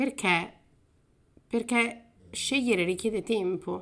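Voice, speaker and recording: Delivery is fairly slow, with ordinary pitch variation. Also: woman. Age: 30s. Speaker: podcast host. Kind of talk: solo podcast monologue. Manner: casual, with frequent fillers.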